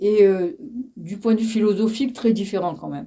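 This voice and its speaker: A woman speaks with a fairly high pitch and a dark, mellow tone. Her pitch varies in an ordinary way. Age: 80s+. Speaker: elderly interviewee. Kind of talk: interview. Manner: halting.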